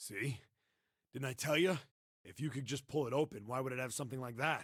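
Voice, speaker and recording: In a raspy, put-on character voice, a man speaks at a fairly quick pace with medium pitch and ordinary pitch variation. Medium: solo performance. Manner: blunt, gruff.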